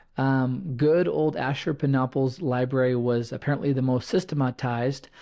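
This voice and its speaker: A man speaks in a plain, everyday voice at a medium pitch and a moderate pace. His intonation is fairly even and his loudness very even. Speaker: podcast host. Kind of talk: solo podcast monologue.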